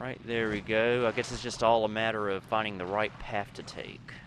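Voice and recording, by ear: At a moderate pace, a man speaks with a fairly low pitch, a fairly bright tone and fairly even intonation.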